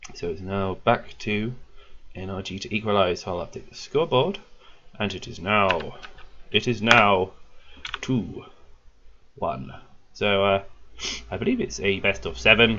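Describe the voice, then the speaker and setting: A man with a British accent and a fairly low pitch speaks with lively intonation, big swings in loudness and long, frequent pauses. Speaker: esports caster. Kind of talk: live commentary. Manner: animated.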